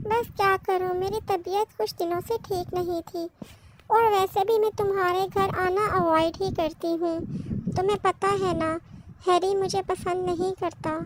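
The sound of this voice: A cartoonish character voice at a moderate pace. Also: female-sounding voice.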